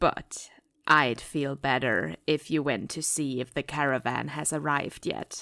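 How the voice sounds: A woman puts on a character voice at an extremely low pitch, with vocal fry and a fairly bright tone. She speaks fairly slowly with fairly even intonation.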